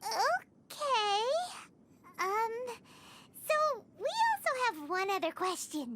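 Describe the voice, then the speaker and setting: Put-on character voice at an extremely high pitch, at a very slow pace with long, frequent pauses. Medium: video game. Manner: casual, blunt.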